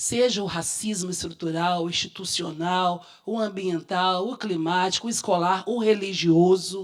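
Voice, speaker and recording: A woman's medium-pitched, plain, everyday voice with fairly even intonation and hardly any pauses. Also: fairly slow pace. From Minas Gerais, Brazil. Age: 50s. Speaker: educator and activist consultant. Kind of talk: public talk at seminar.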